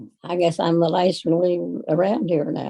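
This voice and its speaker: A woman with a dark, mellow tone and fairly low pitch speaks at a moderate pace with vocal fry. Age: 80s+. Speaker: retired farm woman. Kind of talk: casual chat. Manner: halting.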